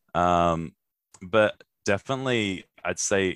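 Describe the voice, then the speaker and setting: A man with an Australian accent speaks with ordinary pitch variation. The recording is very clean and dry, close with no echo, with a silent background. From Brisbane, Australia. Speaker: comedian. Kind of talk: casual chat.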